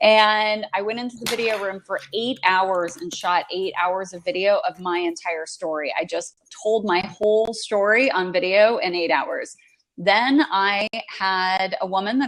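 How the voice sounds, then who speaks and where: A plain, everyday voice belongs to this woman at medium pitch. She speaks at a fairly slow pace with ordinary pitch variation. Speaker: entrepreneur and author. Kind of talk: interview. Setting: live online video chat.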